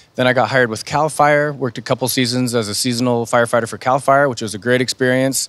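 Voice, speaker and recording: A man with an American accent talks at a very fast pace with fairly even intonation. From California, Sacramento area. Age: 30s. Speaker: firefighter. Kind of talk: panel talk. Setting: virtual talk show.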